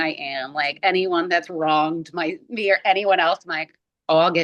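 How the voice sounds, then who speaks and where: A woman's fairly low voice with an American accent, at a moderate pace. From US Northeast, Boston. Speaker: glass artist. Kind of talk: casual chat. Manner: soft-spoken.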